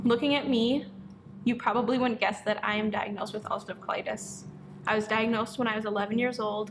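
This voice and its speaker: A woman with an ordinary speaking voice, fairly high in pitch. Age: 20s. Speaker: hair stylist and business owner. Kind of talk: personal testimony to camera.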